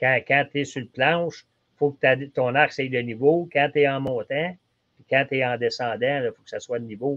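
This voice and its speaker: A medium-pitched man's voice with a Quebec accent, fairly even intonation and a moderate pace. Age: 60s. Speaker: archery shop expert. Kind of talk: casual podcast chat. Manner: halting, repetitive fillers.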